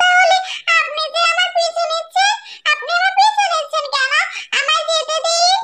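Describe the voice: A cartoonish character voice at an extremely high pitch, with very wide pitch swings and a moderate pace.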